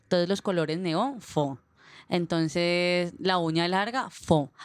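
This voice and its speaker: In an ordinary speaking voice, a woman talks fairly slowly at a fairly low pitch with ordinary pitch variation, in a very clean recording with a silent background. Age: 20s. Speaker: sociology student. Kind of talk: casual chat.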